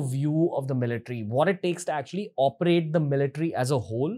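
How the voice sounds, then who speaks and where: Over a quiet background, a man with a dark, mellow tone speaks very fast. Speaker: podcast host. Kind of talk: episode intro to camera. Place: studio. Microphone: studio mic.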